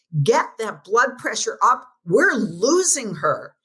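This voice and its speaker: A gruff, female-sounding put-on character voice sits at a fairly high pitch. The pace is fairly slow. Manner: urgent, commanding.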